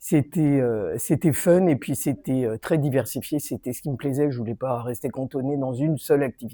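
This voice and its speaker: The voice has a dark, mellow tone and moves at a moderate pace. The sound is dry and close with no echo, on a very clean recording with a silent background. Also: woman, very deep, low pitch for a woman, ordinary pitch variation. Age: 60s. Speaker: gym member. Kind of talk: testimony.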